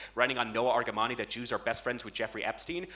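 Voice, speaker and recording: Very fast speech from a man with an American accent, ordinary pitch variation, and noticeable background noise. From United States. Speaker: student activist. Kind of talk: speech to audience. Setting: auditorium stage with audience. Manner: impassioned.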